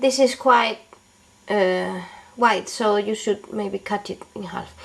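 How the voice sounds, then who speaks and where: A woman at a medium pitch and very slow pace, with fairly even intonation, big swings in loudness, and noticeable background noise. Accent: non-native. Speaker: beauty and DIY video maker. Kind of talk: tutorial. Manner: halting, with fillers.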